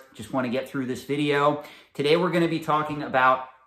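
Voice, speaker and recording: Audible room echo surrounds a man's fairly high voice with ordinary pitch variation. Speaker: collectibles investing youtuber. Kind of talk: tutorial.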